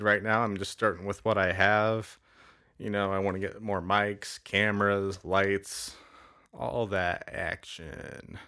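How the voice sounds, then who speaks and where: A man talks at a fairly slow pace with a fairly low, bright, sharp voice and fairly even intonation. The recording is very clean with a silent background. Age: 30s. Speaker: stand-up comic and podcast host. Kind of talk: casual solo monologue. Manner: halting, many filler words.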